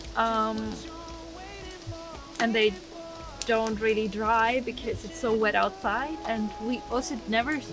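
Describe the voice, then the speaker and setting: A woman talks at a fairly slow pace, and clear music plays in the background. The sound is dry with no echo. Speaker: vlogger. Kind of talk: casual vlog chat. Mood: cheerful, laughing. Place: car. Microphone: camera far.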